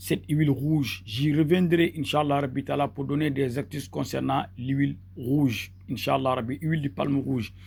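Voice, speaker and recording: With a Senegalese accent, a man speaks at a moderate pace and a fairly high pitch, somewhat breathy, with ordinary pitch variation and hardly any pauses, in a very clean recording with a silent background. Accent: Senegalese Wolof-accented French. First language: Wolof (speaking French). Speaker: mystic healer, charm maker. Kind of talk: tutorial. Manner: halting, with repetitions and fillers.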